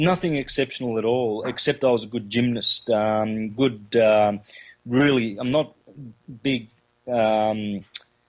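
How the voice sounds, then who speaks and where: With an Australian accent, the speaker moves at a fairly slow pace with ordinary pitch variation. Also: man, medium pitch for a man. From Australia, country Victoria. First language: Calabrian Italian dialect. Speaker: researcher and lecturer on astrotheology. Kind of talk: interview. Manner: halting, many fillers.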